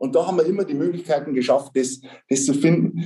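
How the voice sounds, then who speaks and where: Speaking at a moderate pace, a man uses a high-pitched voice with a dark, mellow tone and lively intonation. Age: 50s. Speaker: tax advisor, firm partner. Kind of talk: interview.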